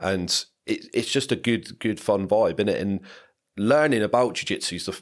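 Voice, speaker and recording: A very clean recording of a man with an English accent against a silent background. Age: 30s. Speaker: podcast co-host. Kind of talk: casual chat.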